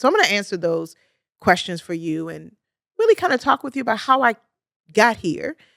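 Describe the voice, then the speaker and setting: Energetic in tone, a woman with a Baltimore accent speaks at a medium pitch in a dry, close sound with no echo. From US, Baltimore, Maryland. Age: 50s. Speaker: podcast host, clinical social worker. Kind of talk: podcast monologue.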